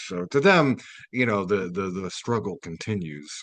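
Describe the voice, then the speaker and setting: Against a quiet background, a man talks. His intonation is lively. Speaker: community radio host. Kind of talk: radio commentary reading article aloud. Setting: radio studio. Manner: casual with frequent fillers.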